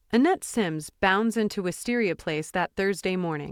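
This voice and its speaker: On a very clean recording with a silent background, a woman speaks at a moderate pace and medium pitch. It is an unremarkable speaking voice, in a dry, close sound with no echo. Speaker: audiobook narrator. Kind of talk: horror audiobook narration.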